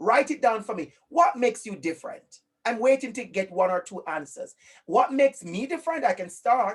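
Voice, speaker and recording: His pitch is extremely high and swings very widely. The man keeps a moderate pace, with big swings in loudness. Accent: Jamaican. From Jamaica. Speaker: online class facilitator. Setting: video call. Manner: energetic, encouraging.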